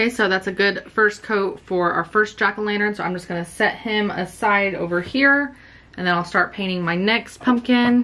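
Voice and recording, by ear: Faint music plays in the background as a woman talks at a moderate pace with few pauses, a medium pitch, ordinary pitch variation and a bright, sharp tone.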